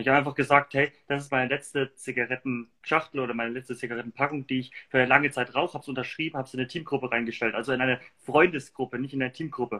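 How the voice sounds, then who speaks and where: Speaking at a very fast pace, a man talks at a medium pitch with fairly even intonation. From Germany, Würzburg (Lower Franconia). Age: 20s. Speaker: entrepreneur. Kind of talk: casual interview. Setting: livestream.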